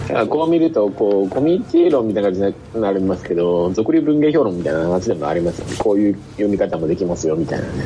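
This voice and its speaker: A man talks at a very fast pace and fairly low pitch, with very wide pitch swings. Noticeable background noise can be heard. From Hokkaido, Japan. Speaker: reading group participant. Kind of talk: casual discussion.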